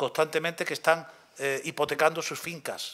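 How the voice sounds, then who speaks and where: The man's voice has a bright, sharp tone. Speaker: archaeology professor. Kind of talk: lecture.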